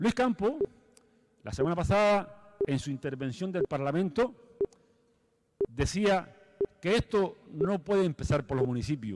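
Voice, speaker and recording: A man speaks at a moderate pace in a high pitch with very wide pitch swings and long, frequent pauses. The sound is dry and close with no echo. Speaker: municipal sports official. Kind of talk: conference talk. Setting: stage with audience.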